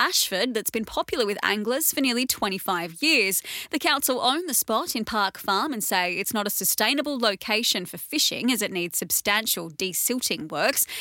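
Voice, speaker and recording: The voice has a bright, sharp tone and lively intonation. It moves at a moderate pace with hardly any pauses. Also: woman. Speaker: news podcast presenter. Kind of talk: news reading.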